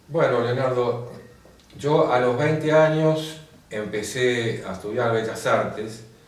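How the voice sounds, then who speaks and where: A man speaks at a medium pitch and a very slow pace. The recording has noticeable background noise and audible room echo. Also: ordinary pitch variation. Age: 70s. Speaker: painter and graphic designer. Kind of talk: interview.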